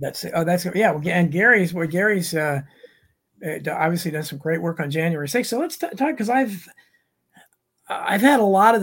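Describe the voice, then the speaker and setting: A man with a high-pitched voice. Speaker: podcast host and author. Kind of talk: interview.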